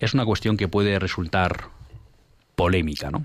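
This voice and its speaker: Using an unremarkable speaking voice, a man with a fairly low pitch talks at a moderate pace with ordinary pitch variation. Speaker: radio host. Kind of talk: radio talk show.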